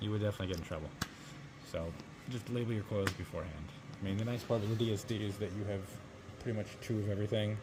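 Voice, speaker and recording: A man with a fairly low pitch speaks at a very fast pace with fairly even intonation, leaving long, frequent pauses. Noticeable background noise and audible room echo are present. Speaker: biomedical equipment technician. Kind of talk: tutorial. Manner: casual.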